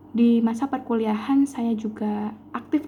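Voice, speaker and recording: The woman's voice sits at a fairly high pitch. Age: 20s. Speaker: job applicant, chemistry teacher. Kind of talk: self-introduction for job application. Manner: formal.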